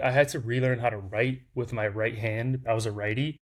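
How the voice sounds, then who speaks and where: Speaking with a Lithuanian accent, a man uses a medium pitch, a somewhat breathy voice and fairly even intonation. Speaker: startup founder. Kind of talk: interview storytelling. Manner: casual, many fillers.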